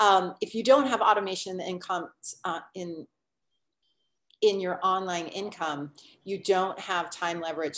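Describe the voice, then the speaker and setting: A woman talks at a fairly quick pace with medium pitch and ordinary pitch variation, in an unremarkable speaking voice. The background is quiet. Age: 50s. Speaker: online business coach. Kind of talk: webinar presentation.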